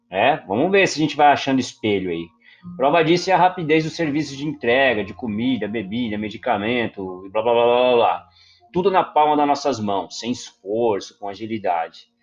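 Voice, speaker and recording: Over music in the background, a man speaks at a moderate pace with very wide pitch swings. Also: medium pitch for a man. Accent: Brazilian. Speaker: podcast host, photographer. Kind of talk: casual monologue.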